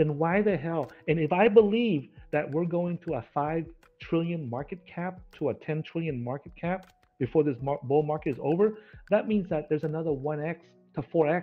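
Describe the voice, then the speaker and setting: Over music in the background, a man with a fairly high voice talks at a moderate pace. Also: ordinary pitch variation. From United States. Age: 50s. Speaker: crypto trader and investment channel host. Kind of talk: podcast interview. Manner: animated.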